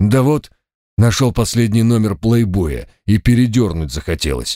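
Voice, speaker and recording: A put-on character voice with lively intonation comes at a moderate pace, the sound dry and close with no echo. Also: man, medium pitch for a man. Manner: mocking.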